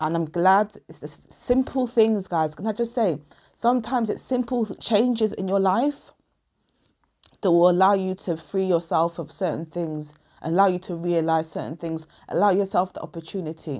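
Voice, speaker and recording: Loudness swings widely as a woman with a dark, mellow tone and medium pitch speaks at a moderate pace with ordinary pitch variation. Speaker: tarot reader. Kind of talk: casual vlog monologue.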